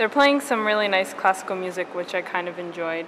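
Noticeable noise fills the background. A woman's voice comes through over it. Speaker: travel vlogger. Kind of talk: casual vlog chat. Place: tunnel cave. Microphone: phone near.

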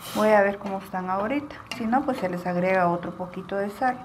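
Light noise sits in the background as the speaking goes along at a moderate speed. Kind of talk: tutorial. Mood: warm, cheerful. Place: kitchen. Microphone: phone near.

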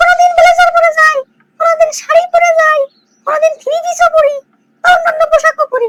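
Here is a woman in a cartoonish character voice with an extremely high pitch. Her pitch swings are very wide and her pace fairly quick. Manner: sugary, coy.

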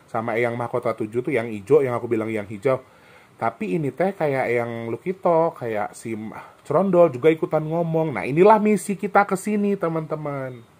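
A man talks at a fairly quick pace in a fairly high voice, his pitch swinging very widely. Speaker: vlogger and spiritual healer; vlogger. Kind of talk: casual vlog monologue. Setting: resort cottage in the highlands. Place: home room. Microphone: phone near.

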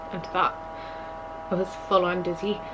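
A weary tone against noticeable background noise. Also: woman. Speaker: vlogger. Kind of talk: casual vlog chat. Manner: weary, low-energy, slightly unwell voice. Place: home room. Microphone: phone near.

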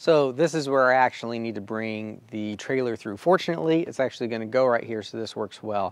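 A man talks at a fairly quick pace with ordinary pitch variation, in a dry sound with no echo. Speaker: DIY video host. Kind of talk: tutorial. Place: garden.

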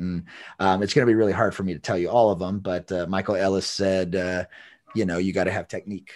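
Against light background noise, a man with a very deep, low pitch speaks with fairly even intonation in a dry sound with no echo. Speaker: podcast host, dog trainer. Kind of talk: casual interview chat. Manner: halting, many repetitions. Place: home room. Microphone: video call.

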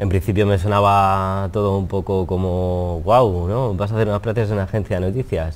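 Here a man speaks at a fairly low pitch. His pace is moderate, with ordinary pitch variation. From Spain. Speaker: wedding photographer; interviewee. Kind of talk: interview. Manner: hesitant, repetitive. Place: studio. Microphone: lapel.

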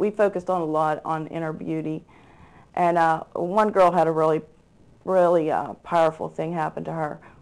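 In an American accent, a woman talks at a moderate pace with a fairly low pitch. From Pittsburgh, Pennsylvania. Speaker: church volunteer youth leader. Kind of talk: interview. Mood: earnest, somber at times. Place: studio. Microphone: lapel.

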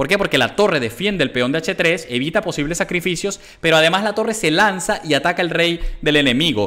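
A man speaks at a high pitch with a bright, sharp tone. His intonation is lively. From Venezuela. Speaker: chess grandmaster streamer. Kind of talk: chess commentary while playing live. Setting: live stream with chat. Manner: animated. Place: home room. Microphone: headset.

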